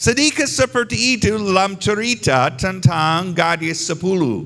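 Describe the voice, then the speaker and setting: The speaker is a man with a non-native accent. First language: not Indonesian (speaking Indonesian). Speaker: visiting pastor. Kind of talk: sermon. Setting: church service. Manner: halting, simple phrasing.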